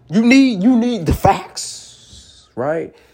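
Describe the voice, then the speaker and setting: A man with a high-pitched voice talks in an animated tone over noticeable background noise. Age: 20s. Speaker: motivational podcaster. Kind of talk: motivational monologue.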